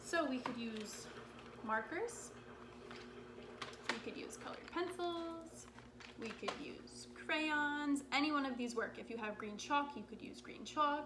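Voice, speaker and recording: A woman speaks in a raised, projected voice at a fairly slow pace, with long, frequent pauses and big swings in loudness. Noticeable background noise is present. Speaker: craft teacher. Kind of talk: tutorial. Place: kitchen. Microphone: camera far.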